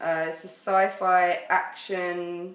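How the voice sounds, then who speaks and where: A woman talks in a British accent, her pitch sitting in the medium range. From United Kingdom. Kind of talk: casual podcast chat about video games.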